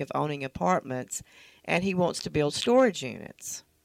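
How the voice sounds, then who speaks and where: This woman's fairly low voice comes through a very clean recording with a silent background and a dry, close sound with no echo. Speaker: co-host, real estate agent. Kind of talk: casual chat. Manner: tired.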